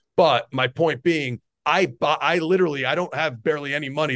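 A man speaks at a fairly quick pace with a New Jersey accent and ordinary pitch variation. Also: quiet background. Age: 40s. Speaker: strength coach. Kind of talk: interview.

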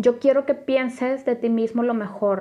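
A woman's voice with fairly even intonation. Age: 30s. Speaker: podcast host. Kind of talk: personal testimony monologue. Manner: halting, many fillers.

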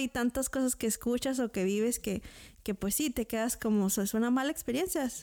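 On a very clean recording with a silent background, a woman talks at a high pitch and a moderate pace with ordinary pitch variation. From Mexico. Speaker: podcast co-host. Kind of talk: casual interview.

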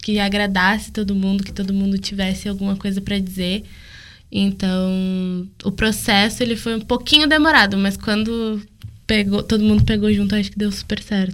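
At a moderate pace, a woman uses an ordinary speaking voice, medium in pitch with fairly even intonation. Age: young. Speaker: university student. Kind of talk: casual chat.

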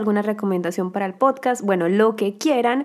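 Noticeable background noise sits under a woman speaking fairly quickly at a fairly high pitch with ordinary pitch variation. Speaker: podcast host. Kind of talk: casual monologue.

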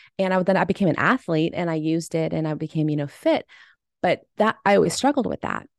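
Over a quiet background, a woman with an American accent speaks very fast at a fairly low pitch, with ordinary pitch variation and a dry, close sound with no echo. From US, army family moving around. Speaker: bereaved mother and podcaster. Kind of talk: interview.

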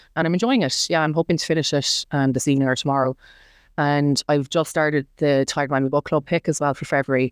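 A woman with an Irish accent speaks at a very fast pace in a very deep, low voice. Her intonation stays fairly even and her loudness very even. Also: dry, close sound with no echo, very clean recording, silent background. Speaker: book blogger and nurse. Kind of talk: casual chat interview. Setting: in person.

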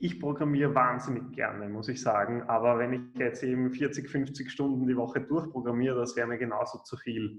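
At a moderate pace, a man talks at a medium pitch with fairly even intonation. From Austria, Vienna. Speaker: programmer and coding trainer. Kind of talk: interview.

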